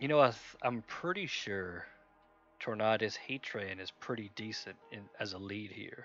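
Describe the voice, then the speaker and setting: With music in the background, a man speaks at a moderate pace in a fairly low pitch. His loudness swings widely, and his pitch varies in an ordinary way. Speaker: gaming streamer. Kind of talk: live gameplay commentary. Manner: casual, thinking aloud.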